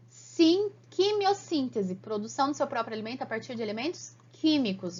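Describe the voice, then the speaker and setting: A woman with a high pitch talks at a moderate pace. Her pitch swings very widely. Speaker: biology teacher. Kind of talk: online lecture. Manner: animated.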